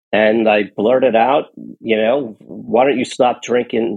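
Speaking at a moderate pace with a New York accent, a man uses a medium pitch and fairly even intonation. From New York City (Queens). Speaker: podcaster and recovery coach. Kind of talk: interview testimony. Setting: remote call.

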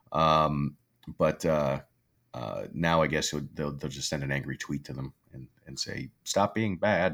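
Vocal fry runs through a man's very deep, low voice as he speaks at a fairly slow pace with ordinary pitch variation. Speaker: podcast co-host. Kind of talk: casual chat.

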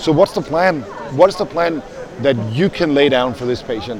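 A man with a Danish accent and ordinary pitch variation, against noticeable background noise. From Denmark. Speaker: paramedic educator. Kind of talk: interview. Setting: conference venue.

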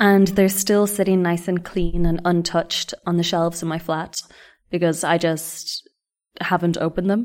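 A woman speaks at a moderate pace in a fairly low pitch with monotone, flat intonation. The recording is very clean, with a silent background. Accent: Irish. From Ireland. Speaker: podcast host and teacher. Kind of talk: solo podcast monologue. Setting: classroom, recorded indoors. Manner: casual, chatty.

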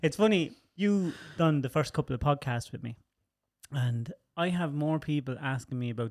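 Someone with an Irish accent talks at a moderate pace. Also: man, dry, close sound with no echo, very clean recording, silent background. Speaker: podcast host. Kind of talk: casual chat. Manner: animated.

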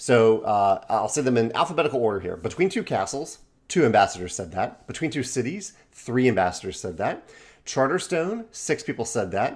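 A medium-pitched man's voice with very wide pitch swings, on a very clean recording with a silent background. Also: moderate pace. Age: 40s. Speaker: board game publisher and video host. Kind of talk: solo video monologue. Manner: hesitant, frequent fillers and repetitions.

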